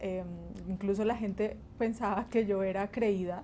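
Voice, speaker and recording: A woman talks in a monotone, flat way. Her pace is fairly slow and her tone dark and mellow. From Colombia, Huila (Pitalito), born in Barranquilla. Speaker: bassist and music teacher. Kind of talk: interview.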